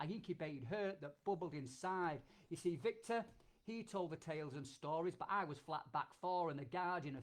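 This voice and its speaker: This man has a Yorkshire accent and a high pitch. He talks at a moderate pace with ordinary pitch variation. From Yorkshire, England. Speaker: performance poet, army veteran. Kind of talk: performance poetry.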